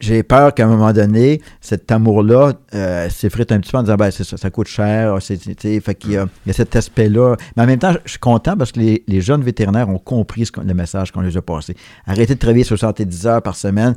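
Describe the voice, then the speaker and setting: Speaking at a fairly quick pace with ordinary pitch variation, a man with a Quebec accent has a fairly low voice, recorded with a dry, close sound and no echo. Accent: Québécois French. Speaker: veterinarian. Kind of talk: interview.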